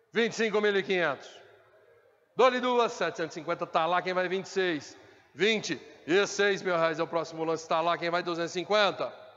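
Pitch varies in an ordinary way as the words come very slowly. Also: man, high pitch for a man. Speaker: auctioneer. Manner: repetitive insistent prompting, driving toward 'dou-lhe uma, duas, vendido'.

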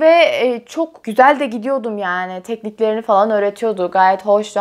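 Lively intonation over a quiet background. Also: woman. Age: 20s. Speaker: YouTuber. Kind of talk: casual vlog chat. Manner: frequent laughter. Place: home room.

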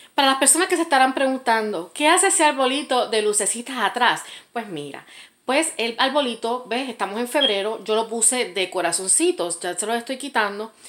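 A woman speaks at a fairly quick pace in a high voice, her pitch swinging very widely. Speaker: vlogger. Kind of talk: casual storytime rant, angry venting about an ex, direct to camera. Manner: indignant, sarcastic, emphatic, dismissive. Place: home room. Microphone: phone near.

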